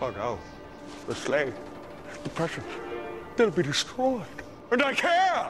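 Over faint background music, a man slowly performs a put-on character voice pitched high, with very wide pitch swings.

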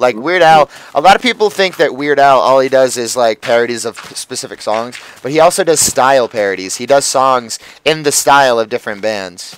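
A man with an American accent, medium pitch, lively intonation and a fairly quick pace. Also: dry, close sound with no echo. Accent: Connecticut, slips into slight Boston. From Connecticut, US. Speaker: gaming video host. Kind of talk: casual gameplay commentary.

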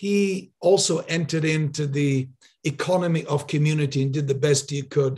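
A man's voice with fairly even intonation against a quiet background. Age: 60s. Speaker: podcast host. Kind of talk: interview. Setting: video call. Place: home room. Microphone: studio mic.

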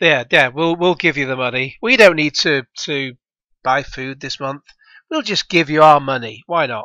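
In a British accent, the speaker talks at a moderate pace against a quiet background. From UK. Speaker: gaming YouTuber reacting to a video. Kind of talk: reaction commentary. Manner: sarcastic, mocking.

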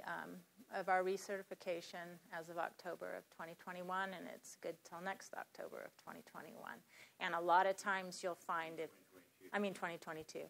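A woman with an American accent speaks at a moderate pace and a medium pitch, her intonation monotone and flat while her loudness swings widely. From US West Coast, Los Angeles. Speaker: farmer and conference presenter. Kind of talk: presentation. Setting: conference room with audience.

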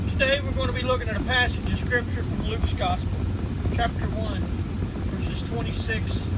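There is loud background noise. A man speaks at a fairly quick pace. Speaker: preacher. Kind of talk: sermon-style Bible teaching to camera. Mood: earnest, fervent praise. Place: car. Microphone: phone near.

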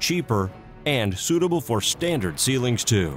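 A man's confident voice with very wide pitch swings, dry and echo-free, over faint background music. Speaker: voice actor. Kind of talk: corporate narration. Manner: confident, clear, convincing.

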